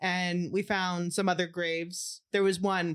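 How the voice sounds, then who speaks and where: A woman with a Canadian accent at medium pitch, in a very clean recording with a silent background. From Canada, small town. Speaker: podcast co-host. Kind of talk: casual chat. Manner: fast when excited; animated.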